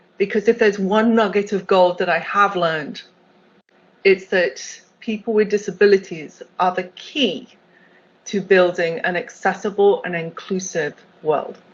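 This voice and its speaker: With a British accent, a woman speaks at a medium pitch and a moderate pace, her intonation fairly even and her speech marked by long, frequent pauses. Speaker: accessibility executive. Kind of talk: keynote talk.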